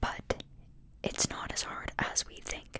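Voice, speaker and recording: Noticeable background noise surrounds a whisper that moves at a very slow pace. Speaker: ASMR podcast host. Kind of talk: spiritual podcast ramble. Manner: whispered or soft-spoken.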